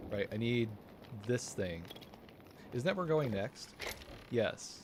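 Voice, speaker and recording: A man at medium pitch with lively intonation, a fairly slow pace and noticeable background noise. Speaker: streamer. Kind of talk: live gameplay commentary. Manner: mumbling.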